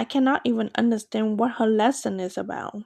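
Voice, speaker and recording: Here a woman speaks at a moderate pace in a fairly high pitch with ordinary pitch variation. The sound is dry and close with no echo, on a very clean recording with a silent background. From Asia, moved to Maryland at 16. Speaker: podcaster. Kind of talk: personal storytelling.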